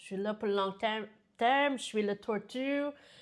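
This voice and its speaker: In a very clean recording with a silent background, a woman with an American accent speaks at a moderate pace, her medium pitch showing ordinary variation. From United States. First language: English (speaking French). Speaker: business founder. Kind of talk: interview. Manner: hesitant, many fillers.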